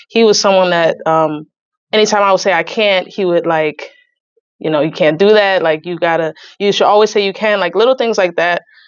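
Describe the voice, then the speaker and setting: She has an ordinary speaking voice at a medium pitch for a woman, with ordinary pitch variation. Her pace is fairly quick. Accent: American. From New Jersey, US. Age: 20s. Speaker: saxophonist and environmental justice advocate. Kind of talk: podcast interview.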